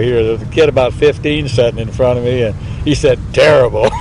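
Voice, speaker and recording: A man with an American accent rattles along very fast while noticeable background noise carries on behind him. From Nebraska, Missouri River area. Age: 70s. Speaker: interviewee. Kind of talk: interview storytelling.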